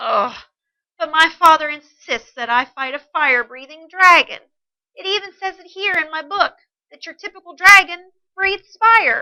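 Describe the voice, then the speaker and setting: Putting on a character voice, a woman talks at a moderate pace with an extremely high pitch and very wide swings in pitch. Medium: read story. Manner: stammering, squeaky when scared.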